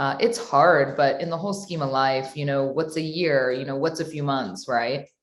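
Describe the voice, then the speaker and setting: A woman speaks at a very deep, low pitch with ordinary pitch variation. Her moderate pace has hardly any pauses. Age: 30s. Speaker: guest, new mother. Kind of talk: casual interview chat.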